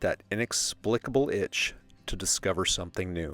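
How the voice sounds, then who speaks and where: With an unremarkable speaking voice, a man talks at a moderate pace with lively intonation in a very clean recording with a silent background and a dry, close sound with no echo. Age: 50s. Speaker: travel writer and vlogger. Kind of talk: personal narration.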